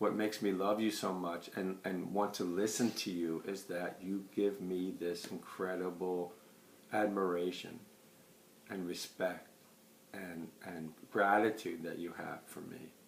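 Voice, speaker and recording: A man's very deep, low voice, monotone and flat, at a fairly slow pace with audible room echo. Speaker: client giving a testimonial. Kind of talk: testimony.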